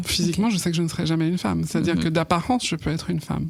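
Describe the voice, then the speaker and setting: A woman speaks with a fairly low voice. Her pitch varies in an ordinary way. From Guadeloupe. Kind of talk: interview answer.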